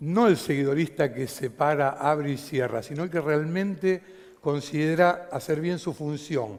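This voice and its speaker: A man's fairly high-pitched voice at a fairly slow pace with ordinary pitch variation. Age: 60s. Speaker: stage lighting designer. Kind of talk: conference talk.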